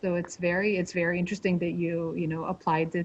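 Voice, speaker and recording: A somewhat breathy woman's voice at a medium pitch, moving at a fairly quick pace. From Israel. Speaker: diplomat hosting webinar. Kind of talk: interview.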